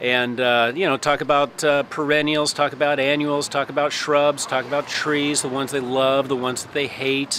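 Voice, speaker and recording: Noticeable background noise runs behind a man with a Midwestern accent. His voice is fairly high, and his intonation stays fairly even. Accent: Midwest. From US Midwest, Lincoln, Nebraska. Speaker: landscaper and carpenter. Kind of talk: casual interview.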